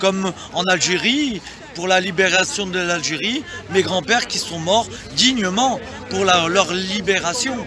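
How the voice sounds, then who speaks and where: With a raised, projected voice, a man speaks at a fairly slow pace and a high pitch with ordinary variation. Long, frequent pauses break his speech over noticeable background noise. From France. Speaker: interviewee at protest. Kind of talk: street interview. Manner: halting.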